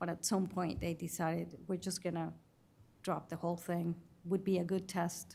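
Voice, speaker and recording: A woman with a non-native accent speaks at a moderate pace in a fairly low pitch, her flat, monotone delivery marked by vocal fry. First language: not English. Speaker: witness at investigative hearing. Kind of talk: testimony. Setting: hearing room. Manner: halting.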